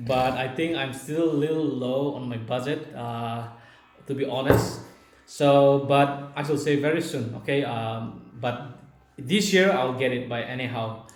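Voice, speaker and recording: A man at medium pitch talks at a fairly slow pace with ordinary pitch variation, amid audible room echo and noticeable background noise. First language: Naga language. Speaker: video blogger. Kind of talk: casual Q&A chat. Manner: halting.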